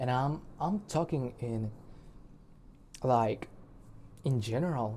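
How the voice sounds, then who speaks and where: A man with a non-native accent speaks at a very slow pace, with long, frequent pauses. His voice sits at a medium pitch, somewhat breathy, with lively intonation. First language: not English. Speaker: musician and video blogger. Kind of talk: personal video diary monologue. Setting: recording alone to camera. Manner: halting, with many fillers and restarts; shy.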